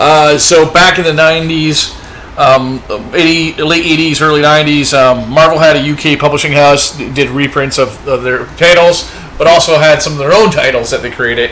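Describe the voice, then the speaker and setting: Over noticeable background noise and audible room echo, a man talks at a moderate pace in a fairly high pitch. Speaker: comic book collector and video host. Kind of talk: casual chat. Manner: animated.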